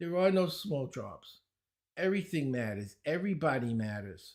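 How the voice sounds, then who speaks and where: In a Brooklyn accent, a man speaks at fairly high pitch on a very clean recording with a silent background. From New York, Brooklyn. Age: 70s. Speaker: speed reading teacher. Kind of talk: podcast interview.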